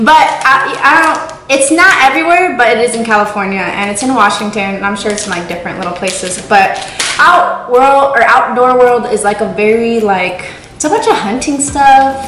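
Light background noise and audible room echo around a woman's voice, at a moderate pace. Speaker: vlogger. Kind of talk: casual vlog chat. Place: kitchen. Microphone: camera far.

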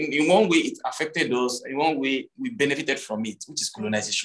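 The background is silent. A man talks fairly quickly. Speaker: guest. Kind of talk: interview answer. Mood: reflective, earnest. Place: home room. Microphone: video call.

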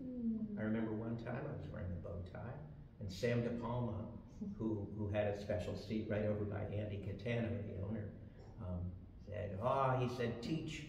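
With audible room echo and light background noise, a man speaks at a moderate pace in a fairly low pitch with fairly even intonation. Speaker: panelist. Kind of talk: personal storytelling on a panel. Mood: warm, reminiscing. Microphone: camera far.

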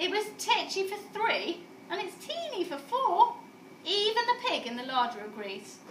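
Using a put-on character voice, a woman speaks at an extremely high pitch with big pitch swings. Her pace is fairly slow, and there is audible room echo.

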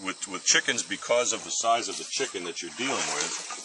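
Noticeable background noise runs beneath a man talking at a fairly quick pace. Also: dry sound with no echo. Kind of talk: tutorial. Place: open country. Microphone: camera far.

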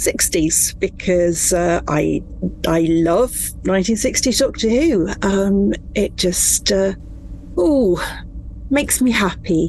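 Noticeable background noise sits behind a woman who speaks at a very slow pace. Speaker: author. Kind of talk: interview.

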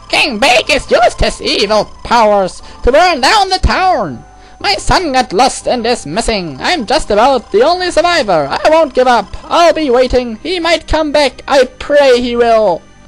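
A put-on character voice with a high pitch moves at a moderate pace. Music plays clearly in the background. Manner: scary, irritating.

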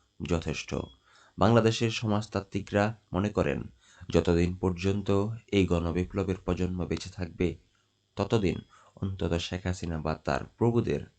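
A man's very deep, low voice with ordinary pitch variation over a quiet background. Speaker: newspaper headline reader. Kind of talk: news reading. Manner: halting.

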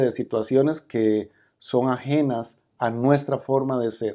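A man in a Costa Rican accent, dark and mellow in tone, very slow, with fairly even intonation, over a quiet background. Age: 50s. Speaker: criminologist and politician; politician. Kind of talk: interview. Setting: conference venue. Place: meeting room.

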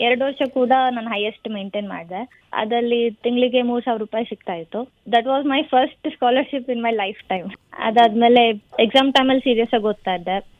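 This woman has a fairly high pitch with ordinary variation. It is a normal speaking voice. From Hassan, Karnataka, India. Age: 20s. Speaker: agriculture graduate, gold medalist. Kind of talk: radio interview.

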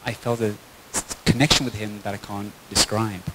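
Background noise is loud throughout. Over it, a man talks. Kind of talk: personal testimony to an audience. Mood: warm, heartfelt. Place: hall. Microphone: handheld.

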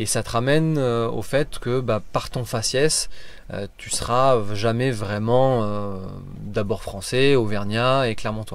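A man's medium-pitched voice, very slow and fairly even in intonation, with a dry sound and no echo. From France, Auvergne (Clermont-Ferrand); Auvergne, France. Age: 30s. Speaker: motorcycle travel guide. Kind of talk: interview. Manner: hesitant, many fillers. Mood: calm, reflective. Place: car. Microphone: phone near.

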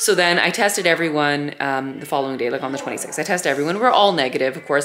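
Faint music plays in the background while a woman speaks at a very fast pace. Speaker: family vlogger. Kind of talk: casual vlog chat. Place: home room. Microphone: phone near.

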